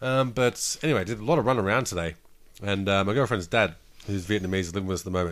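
Talking at a very fast pace in an Australian accent, a man uses a fairly low pitch with ordinary pitch variation. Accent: Australian, broad. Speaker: podcast co-host. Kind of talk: casual chat. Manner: casual, swearing.

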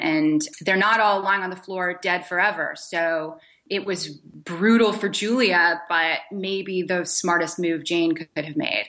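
Against a quiet background, a woman talks at a medium pitch. Her tone is bright and sharp, with ordinary pitch variation. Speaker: TV showrunner. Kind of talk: interview.

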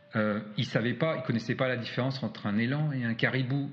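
A man speaks with fairly even intonation, a medium pitch, and a moderate pace. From France. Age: 40s. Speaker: adventurer and hiker. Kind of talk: interview. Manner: hesitant with frequent fillers.

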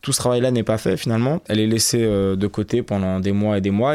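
Very clean, with a silent background, this recording captures a man at a fairly low pitch. He speaks at a very fast pace with ordinary pitch variation. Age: 30s. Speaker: radio documentary reporter. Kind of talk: interview.

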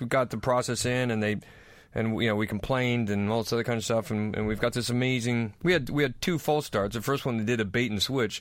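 On a very clean recording with a silent background, a man with a Northwest US accent talks at a fairly quick pace. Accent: American (Northwest US). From North Idaho, US. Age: middle-aged. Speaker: comedian. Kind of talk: casual chat.

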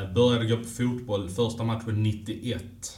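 A man speaks at a very slow pace with a medium pitch and a monotone, flat intonation. Noticeable background noise and audible room echo fill the recording. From Malmö, Skåne, southern Sweden. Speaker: hockey journalist. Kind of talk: interview. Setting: arena.

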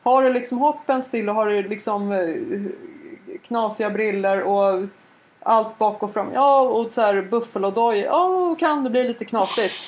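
A woman with an ordinary speaking voice and a fairly high pitch talks fairly slowly with ordinary pitch variation. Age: 40s. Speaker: podcast co-host. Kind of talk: casual chat.

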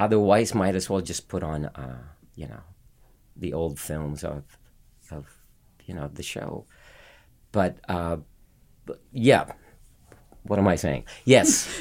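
With vocal fry and lively intonation, the speaker moves at a very slow pace, leaving long, frequent pauses. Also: man, very deep, low pitch for a man. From Philippines, Manila. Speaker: Broadway actor. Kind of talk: casual chat. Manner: halting.

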